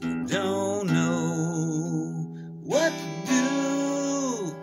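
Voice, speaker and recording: Over clear music in the background, a man speaks at a very slow pace. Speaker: home musician vlogger. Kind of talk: casual vlog chat and singing. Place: home room. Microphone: phone near.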